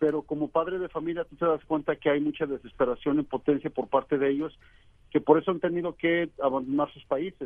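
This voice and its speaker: This is a plain, everyday voice. It moves at a fairly quick pace. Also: man. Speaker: reporter. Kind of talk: interview. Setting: phone call.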